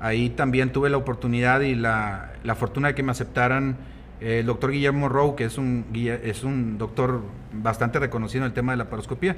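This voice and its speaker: A man speaks at a fairly quick pace with fairly even intonation. Noticeable background noise is present. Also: medium pitch for a man. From Mexico, Coahuila (Nava). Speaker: gynecologist and fertility specialist. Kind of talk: casual interview.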